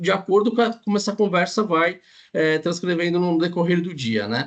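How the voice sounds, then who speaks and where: Here a man talks at a fairly quick pace. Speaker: insurance underwriter. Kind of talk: panel discussion. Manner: fast.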